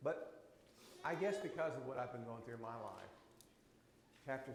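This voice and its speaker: A somewhat breathy man's voice comes with audible room echo. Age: 60s. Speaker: Bible class teacher. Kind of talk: Bible class teaching with discussion. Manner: conversational.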